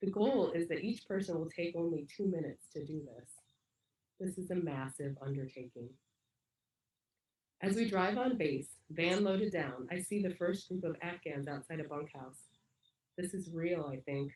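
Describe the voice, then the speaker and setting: A woman's somewhat breathy, fairly low voice with lively intonation, a moderate pace, and long, frequent pauses. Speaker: lay reader at church service. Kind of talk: reading aloud.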